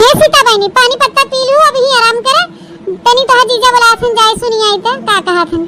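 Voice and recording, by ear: A woman performs a cartoonish character voice. It sits at an extremely high pitch and moves at a moderate pace.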